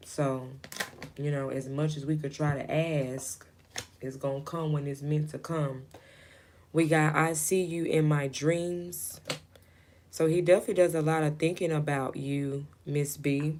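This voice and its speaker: A soft-spoken woman with a very deep, low pitch, fairly even intonation and a fairly slow pace full of long, frequent pauses. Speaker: tarot reader. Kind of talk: live stream tarot reading. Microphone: voice too quiet for current mic.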